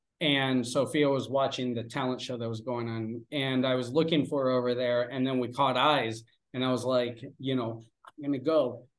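A medium-pitched man with an American accent, moderate in pace and monotone, flat in intonation. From Pennsylvania, US. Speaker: English teacher and father. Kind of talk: casual interview chat.

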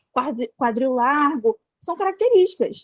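Woman's high-pitched voice at a moderate pace, with a dry, close sound and no echo. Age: 20s. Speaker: debut novelist and plus-size fashion influencer. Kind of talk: casual chat.

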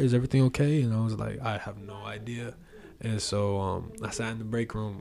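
With an American accent, a man talks at a fairly quick pace and fairly low pitch, with audible room echo around him. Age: 20s. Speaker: musician. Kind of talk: casual chat.

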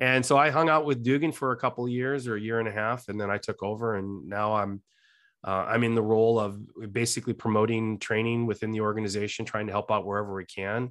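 Against a quiet background, a man talks at a very fast pace with a medium pitch and fairly even intonation. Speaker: fire battalion chief. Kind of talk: interview.

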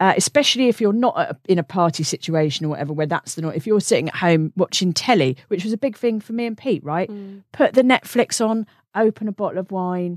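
A woman with a British accent speaks very fast at a medium pitch with lively intonation. The recording is very clean and dry, with a silent background, a close sound and no echo. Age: 40s. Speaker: comedian and podcast host. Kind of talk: casual chat.

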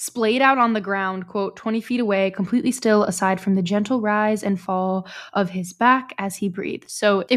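The text is being read. It comes in a natural reading voice.

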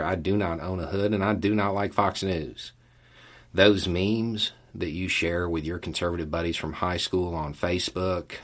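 On a very clean recording with a silent background, a man with a Southern US accent speaks in a very deep, low pitch at a moderate pace with fairly even intonation. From US Deep South. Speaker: YouTube channel host. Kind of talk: monologue to camera, casual commentary. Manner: casual, conversational.

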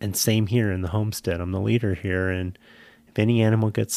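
A man's fairly low voice with fairly even intonation, dry and close with no echo, on a very clean recording against a silent background. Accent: Californian. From US West Coast, San Jose, California. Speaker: podcast co-host and homesteader. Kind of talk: casual chat.

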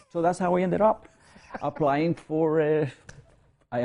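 A man with a non-native accent, speaking at a fairly quick pace. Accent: foreign. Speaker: academic. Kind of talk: interview. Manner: halting.

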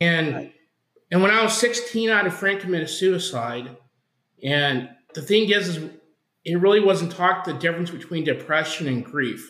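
Bright, sharp speech in an American accent at a moderate pace, with ordinary pitch variation and audible room echo. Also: man. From Oklahoma. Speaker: campus missionary, former pastor. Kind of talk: interview testimony.

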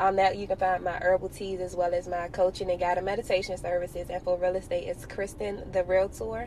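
Over noticeable background noise, a woman with a medium pitch rattles along at a very fast pace with hardly any pauses, her intonation monotone and flat. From Washington, D.C. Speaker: entrepreneur and realtor. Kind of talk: podcast interview.

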